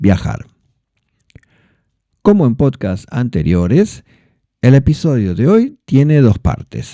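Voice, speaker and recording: A man speaks very slowly in a dark, mellow tone with a Rioplatense accent. The background is quiet. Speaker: Spanish teacher, podcast host. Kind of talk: educational podcast narration for learners. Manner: clear, measured pace for learners.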